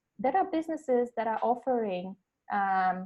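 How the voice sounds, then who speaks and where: A woman speaks with a Polish accent at a fairly quick pace. Her pitch sits fairly high. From Poland. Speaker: life coach. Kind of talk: webinar presentation. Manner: hesitant, many fillers.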